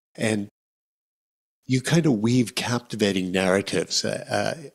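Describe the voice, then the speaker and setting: A man with an American accent speaks at a moderate pace and fairly low pitch, with ordinary pitch variation, over a quiet background. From United States. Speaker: podcast host. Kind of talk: casual interview. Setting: video call. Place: studio. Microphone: studio mic.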